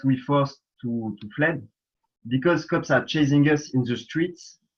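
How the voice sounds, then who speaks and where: At a fairly slow pace and with fairly even intonation, the speaker talks in a French accent. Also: man. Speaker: protester. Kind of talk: testimony. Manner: halting.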